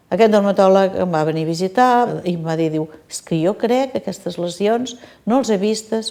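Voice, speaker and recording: Her tone is dark and mellow, and her intonation is lively. The woman keeps a moderate pace. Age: 60s. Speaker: patient. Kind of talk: testimony. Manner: halting.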